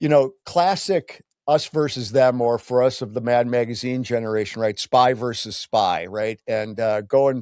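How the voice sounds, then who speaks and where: The delivery is a normal speaking voice at a moderate pace. It has ordinary pitch variation and hardly any pauses. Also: man, medium pitch for a man, dry, close sound with no echo, very clean recording, silent background. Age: 60s. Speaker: podcast host. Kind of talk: casual chat.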